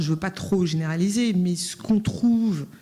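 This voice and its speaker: A woman with a dark, mellow tone speaks somewhat breathily, her pitch varying in an ordinary way. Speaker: round table panelist. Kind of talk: panel discussion. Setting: conference with interpreters.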